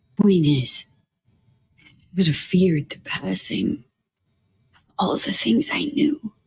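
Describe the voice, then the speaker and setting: A raspy, put-on character voice at middle pitch moves at a fairly slow pace with long, frequent pauses. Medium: video game. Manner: terse, guarded.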